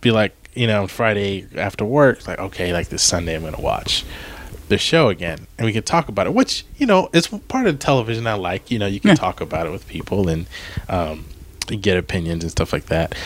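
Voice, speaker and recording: A man in a plain, everyday voice with an American accent speaks at a moderate pace, fairly low in pitch, with lively intonation. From Maryland, US. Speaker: podcast co-host, post-production worker. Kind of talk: casual chat.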